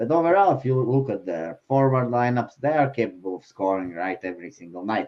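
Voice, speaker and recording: Lively intonation and a fairly quick pace in a non-native accent. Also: man. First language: not English. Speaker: sports betting show panelist. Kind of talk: casual chat. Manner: halting, many fillers.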